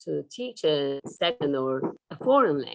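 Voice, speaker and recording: A woman speaks at a very slow pace with a Turkish accent. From Turkey. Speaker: professor. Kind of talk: lecture. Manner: hesitant with fillers.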